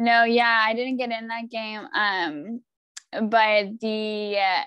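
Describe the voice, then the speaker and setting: A woman speaks very slowly with a West Coast accent. Her pitch is fairly high. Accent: American West Coast. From US, Oregon. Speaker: professional footballer. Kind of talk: casual interview.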